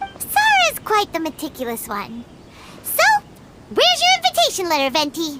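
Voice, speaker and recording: Loud background noise sits under a squeaky, put-on character voice at an extremely high pitch, moving at a moderate pace with long, frequent pauses. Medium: video game.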